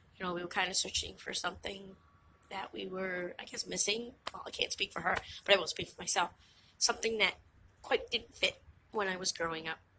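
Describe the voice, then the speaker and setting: A woman talks in a Massachusetts accent with fairly even intonation. Her loudness shows big swings. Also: medium pitch for a woman, fairly quick pace. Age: 40s. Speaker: witch and vlogger. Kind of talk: casual vlog monologue. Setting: outdoors on a hike and bike trail.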